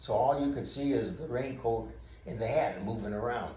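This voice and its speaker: A man speaks with audible room echo. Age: 80s+. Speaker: retired police officer. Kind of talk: storytelling. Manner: halting.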